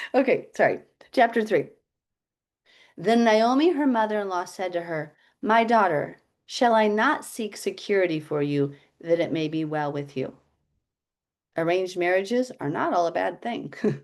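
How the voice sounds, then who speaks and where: A woman of medium pitch with lively intonation, a moderate pace and long, frequent pauses, against a quiet background. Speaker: Bible teacher. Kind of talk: Bible study teaching with reading aloud.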